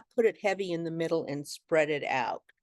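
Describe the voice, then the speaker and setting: A woman's normal speaking voice, fairly low in pitch with ordinary pitch variation, dry and close with no echo against a quiet background. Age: 60s. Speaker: makeup artist and business owner. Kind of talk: tutorial. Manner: casual, conversational.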